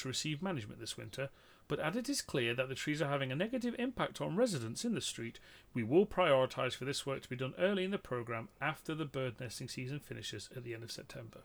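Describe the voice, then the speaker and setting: On a very clean recording with a silent background, a man with a fairly high pitch talks very fast with lively intonation. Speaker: podcast co-host. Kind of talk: casual comedic chat. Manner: jokey, banter.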